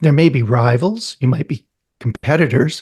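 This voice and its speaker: A man speaks at a fairly quick pace with a somewhat breathy voice and lively intonation, recorded dry and close with no echo. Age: 60s. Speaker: real estate investor. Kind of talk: podcast interview.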